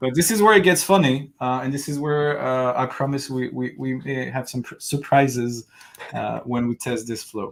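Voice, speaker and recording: At a moderate pace, a man with a French accent talks at a medium pitch with ordinary pitch variation. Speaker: developer live-coding host. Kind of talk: live coding stream chat.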